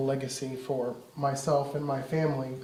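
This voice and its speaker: A man talks with audible room echo. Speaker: minister. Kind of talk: sermon.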